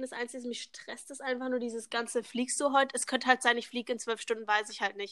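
A woman speaks at a very fast pace in a high, bright, sharp voice. The intonation stays monotone and flat. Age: young. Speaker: au pair, podcast co-host. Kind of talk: casual chat. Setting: video call, outdoors on terrace.

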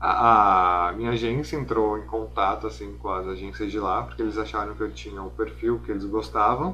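With audible room echo and noticeable background noise, a man with a very deep, low pitch talks at a moderate pace, hardly pausing and making very wide pitch swings. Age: 20s. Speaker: fashion model and student. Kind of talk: casual interview.

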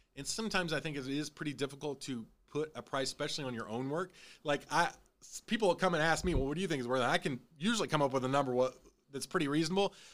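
Recorded very cleanly against a silent background, a man with an American accent talks at a very fast pace and a fairly high pitch, with ordinary pitch variation. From Illinois. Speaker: podcast host. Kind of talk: casual chat.

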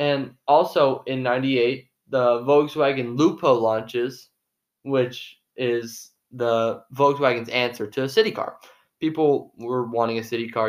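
Using an unremarkable speaking voice, a man with a medium pitch talks at a fairly slow pace with fairly even intonation. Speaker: podcast co-host. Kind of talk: casual chat.

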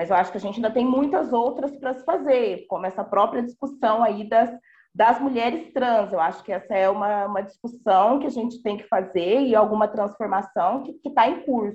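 Speaking at a moderate pace with hardly any pauses, a woman uses a normal speaking voice, fairly high in pitch, with ordinary pitch variation. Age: 30s. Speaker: professor. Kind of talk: panel discussion.

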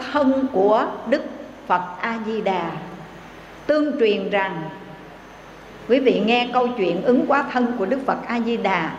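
Over noticeable background noise, a woman with a high pitch and lively intonation speaks with long, frequent pauses. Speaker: Buddhist nun. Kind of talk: sermon. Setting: temple. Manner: formal.

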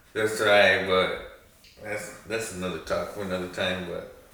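A man is heard over noticeable background noise. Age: 20s. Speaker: host's brother. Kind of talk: casual chat.

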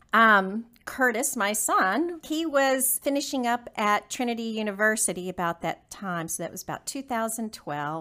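Her voice fairly high with a bright, sharp tone, a woman speaks at a moderate pace. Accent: Texan. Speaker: business owner. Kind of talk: interview.

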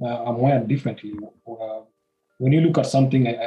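Delivered at a fairly quick pace, the voice is somewhat breathy with a dark, mellow tone. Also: man. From Nairobi, Kenya. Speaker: humanitarian and advocate. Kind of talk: casual interview about life story. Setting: home recording with noise from outside. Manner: halting, repeats words.

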